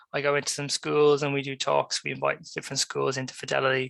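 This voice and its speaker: A man with an Irish accent at a fairly quick pace, in a dry, close sound with no echo. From Ireland. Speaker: graduate recruitment professional. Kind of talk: careers talk presentation.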